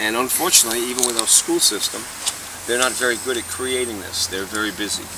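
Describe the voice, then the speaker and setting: This man talks very fast at a medium pitch. Noticeable background noise runs underneath. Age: 60s. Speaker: baseball coach. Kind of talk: casual chat. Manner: animated.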